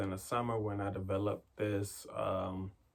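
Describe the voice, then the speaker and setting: A fairly low-pitched man's monotone, flat delivery over noticeable background noise. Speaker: meditation podcast host. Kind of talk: casual vlog talk with affirmations.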